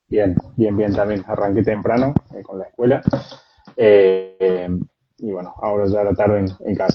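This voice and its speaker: A man with a Cordoban accent talks at a fairly slow pace. His fairly low voice has monotone, flat intonation. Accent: Cordobés. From Córdoba, Argentina. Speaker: agronomist. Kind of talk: live stream interview. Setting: video call from home.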